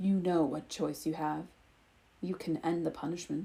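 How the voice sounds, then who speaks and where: Putting on a character voice, a woman speaks with a rumbling sound at a fairly low pitch and a moderate pace. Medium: read story. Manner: serene, measured.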